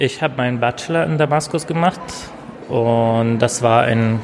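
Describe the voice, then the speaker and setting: Music plays behind a man with an Arabic accent. He speaks at a moderate pace and medium pitch, with ordinary pitch variation. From Syria. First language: Arabic (speaking German). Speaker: former student, workshop teacher. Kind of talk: interview.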